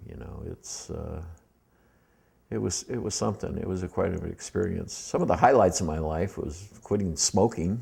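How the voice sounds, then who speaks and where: With an American accent, a man speaks in a very deep, low pitch with a dark, mellow tone, lively intonation and vocal fry. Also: moderate pace, big swings in loudness. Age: 60s. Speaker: war veteran. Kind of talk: personal life-story interview. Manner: halting, many fillers.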